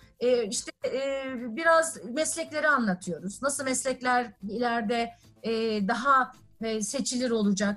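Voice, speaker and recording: Speaking fairly slowly, a woman uses a high pitch. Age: 40s. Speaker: technology company executive. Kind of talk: interview. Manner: frequent filler hesitations.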